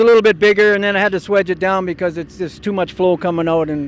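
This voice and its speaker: The pace is very fast. The speaker is a man. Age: 60s. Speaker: amateur motorcycle racer. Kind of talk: casual interview. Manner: halting, hesitant.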